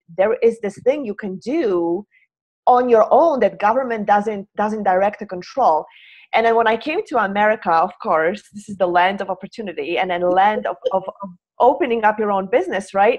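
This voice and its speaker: The woman has a Polish accent and a medium pitch. She keeps to a moderate pace. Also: ordinary pitch variation. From Poland. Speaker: hand analyst. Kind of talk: interview. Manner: halting.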